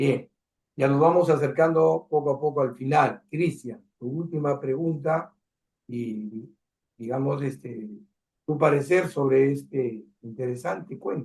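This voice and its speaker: The speaker talks at a very slow pace in a somewhat breathy voice with ordinary pitch variation. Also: man, fairly high pitch for a man. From Peru. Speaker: cultural program host. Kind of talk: interview.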